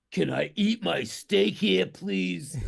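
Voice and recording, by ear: The voice is a raspy put-on character voice. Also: man, fairly low pitch for a man.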